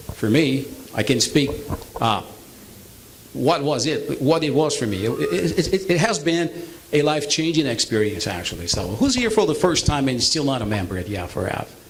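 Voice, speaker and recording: Noticeable background noise and audible room echo fill the recording. A man speaks at a moderate pace with very wide pitch swings. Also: fairly high pitch for a man. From Brazil. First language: Portuguese. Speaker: business presenter. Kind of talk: sales pitch. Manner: halting.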